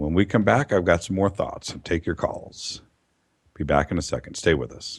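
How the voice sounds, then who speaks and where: A man speaks with a very deep, low pitch and vocal fry. His intonation is lively. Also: moderate pace. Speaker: radio host. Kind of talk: live radio talk. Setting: radio studio.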